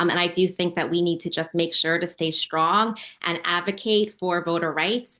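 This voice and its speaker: The tone is bright and sharp, with fairly even intonation. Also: woman, fairly low pitch for a woman. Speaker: political candidate. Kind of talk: interview. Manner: fast.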